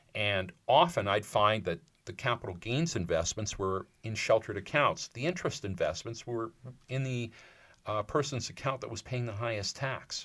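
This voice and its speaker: A man with medium pitch and an unremarkable speaking voice, ordinary pitch variation, moderate pace, on a very clean recording with a silent background. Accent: Canadian. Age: 60s. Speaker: financial advisor. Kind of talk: casual chat.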